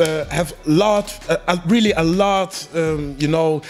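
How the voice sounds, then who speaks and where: There is noticeable background noise as a man speaks in a high pitch with fairly even intonation. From France. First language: French. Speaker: battle rapper. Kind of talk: post-battle interview. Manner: halting.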